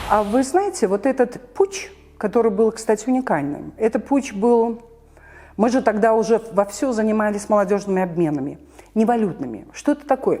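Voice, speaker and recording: A woman with a normal speaking voice and fairly high pitch speaks at a moderate pace with lively intonation. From Belarus, Minsk. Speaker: civil society activist, former orchestra director. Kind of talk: interview answer.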